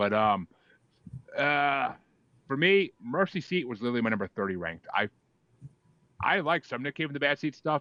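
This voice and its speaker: A slight Boston accent comes through at a fairly quick pace. The tone is animated, with very wide swings in pitch. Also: man. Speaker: podcast host. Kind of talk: casual chat.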